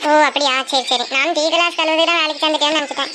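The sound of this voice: Cartoonish character voice from a woman, squeaky and high-pitched, rushing at a very fast pace over clear background noise.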